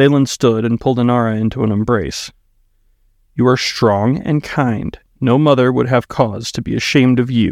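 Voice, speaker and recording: A man speaks at a moderate pace in an ordinary speaking voice, his pitch medium. His intonation stays fairly even over a quiet background. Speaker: author reading own book. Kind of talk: audiobook narration; casual intro and outro. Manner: measured, storyteller pacing.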